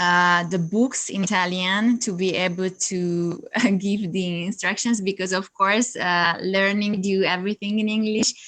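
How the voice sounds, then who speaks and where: Against a quiet background, a woman with a Hungarian accent speaks at a fairly slow pace, her medium pitch following a fairly even intonation. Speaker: yoga teacher and coach. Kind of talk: interview. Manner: halting, many fillers.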